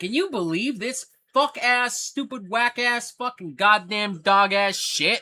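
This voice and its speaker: A man's raised, projected voice, extremely high in pitch, at a fairly slow pace with an American accent. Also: ordinary pitch variation. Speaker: livestream host. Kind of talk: casual livestream chat. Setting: livestream. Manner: animated, profane.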